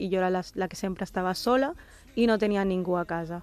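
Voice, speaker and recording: In a normal speaking voice, a woman talks at a medium pitch and a moderate pace with fairly even intonation against a quiet background. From Barcelona, Catalonia (born in Pakistan, moved at three). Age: 20s. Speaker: interviewee sharing life story. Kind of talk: personal testimony.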